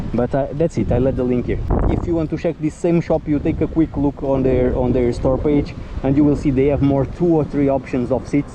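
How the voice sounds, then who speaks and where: This man speaks at a fairly quick pace in a fairly high pitch, with very even loudness and fairly even intonation over noticeable background noise. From Portugal. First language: Portuguese. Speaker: motorcycle vlogger. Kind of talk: casual vlog review. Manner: halting, hesitant.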